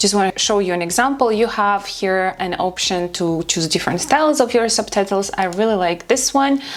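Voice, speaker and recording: Against noticeable background noise, a woman with a medium pitch and a non-native accent speaks at a moderate pace with hardly any pauses and ordinary pitch variation. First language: not English. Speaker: social media content creator. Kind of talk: tutorial.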